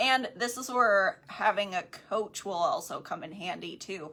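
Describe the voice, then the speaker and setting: Her tone is bright and sharp. This woman has a slight country accent. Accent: slight country twang. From Wisconsin, US Midwest. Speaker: podcast co-host, network marketing coach. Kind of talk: casual book discussion. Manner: casual, filler-heavy.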